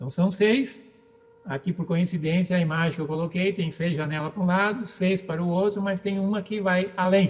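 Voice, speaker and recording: The voice keeps a moderate pace and ordinary pitch variation. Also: man. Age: 60s. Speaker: philosophy lecturer. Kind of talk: lecture. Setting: book launch event.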